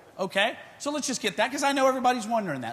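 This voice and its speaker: In a Texan accent, a man talks loud with a bright, sharp tone. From Texas. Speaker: futures trader. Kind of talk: conference speech. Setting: stage with audience.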